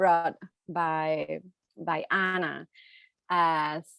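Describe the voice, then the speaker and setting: A woman speaks with a Puerto Rican accent. The sound is dry and close, with no echo. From Puerto Rico. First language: Spanish. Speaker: poet. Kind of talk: panel discussion. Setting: video call. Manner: halting.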